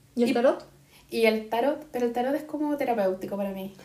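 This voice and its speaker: A woman with a high pitch and lively intonation speaks over noticeable background noise. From Chile. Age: 30s. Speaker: podcast co-host. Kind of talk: casual chat.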